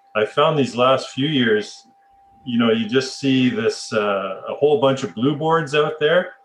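A fairly high-pitched man with a Canadian accent, lively intonation, and a fairly slow pace over noticeable background noise. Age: 30s. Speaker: podcast host. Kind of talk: casual chat.

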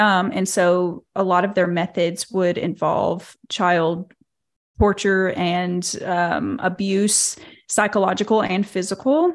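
Speaking very slowly in a Southern US accent, a woman keeps her intonation fairly even on a very clean recording with a silent background. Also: medium pitch for a woman, very even loudness. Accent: Southern American. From Arkansas, US South. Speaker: cult survivor and social media creator. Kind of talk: interview.

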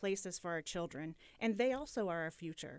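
A woman's medium-pitched voice comes through in a very clean recording with a silent background. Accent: Midwestern American. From Muncie, Indiana. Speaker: daycare business owner. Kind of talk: radio interview. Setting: radio studio.

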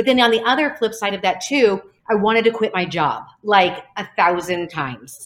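A woman has an unremarkable speaking voice, fairly high in pitch. She talks at a moderate pace with lively intonation. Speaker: speech-language pathologist and company founder. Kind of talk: casual interview chat.

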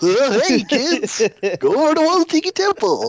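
A cartoonish character voice is pitched high. It moves along at a fairly slow pace. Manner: overexcited.

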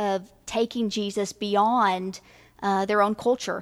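Speaking at a fairly slow pace, a woman with an American accent uses a monotone, flat intonation. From rural US. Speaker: missions ministry leader. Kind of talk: casual chat.

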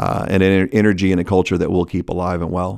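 A man with a Texan accent speaks in a very deep, low pitch at a fairly quick pace. His intonation is monotone and flat, and the recording is very clean with a silent background. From Texas. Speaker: restaurant executive. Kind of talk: casual interview.

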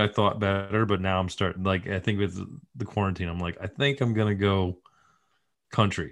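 Speaking at a moderate pace, a man with a plain, everyday voice and a fairly low pitch talks in an American accent. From upstate New York. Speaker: TV writer-producer and comedian. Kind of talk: casual chat. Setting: video call.

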